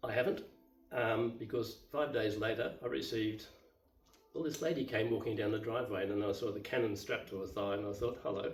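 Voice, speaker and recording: With an Australian accent, a man talks at a fairly quick pace and medium pitch, ordinary pitch variation, and audible room echo around him. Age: 70s. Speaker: YouTuber, divorced retiree. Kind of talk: casual monologue, personal story. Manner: unscripted, halting with fillers.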